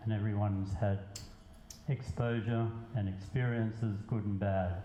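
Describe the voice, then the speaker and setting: A man with a fairly low pitch speaks fairly slowly in a monotone, flat intonation. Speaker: poet. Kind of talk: casual talk to an audience.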